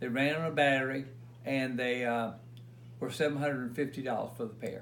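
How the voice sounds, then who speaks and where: A man with an American accent talks in a flat monotone. Room echo is audible. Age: 70s. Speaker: retired concert recording engineer. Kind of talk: casual interview. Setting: at home.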